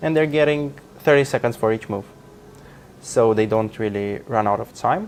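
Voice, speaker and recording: With music in the background, a man with a Romanian accent talks with ordinary pitch variation and long, frequent pauses. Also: medium pitch for a man, moderate pace. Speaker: chess commentator. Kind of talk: live commentary.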